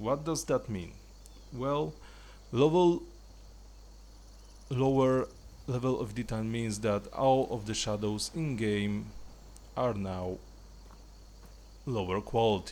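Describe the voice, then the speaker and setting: Pausing long and often, a man of medium pitch speaks at a very slow pace. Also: ordinary pitch variation. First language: not English. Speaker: gaming video creator. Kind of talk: tutorial. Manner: casual, slightly halting.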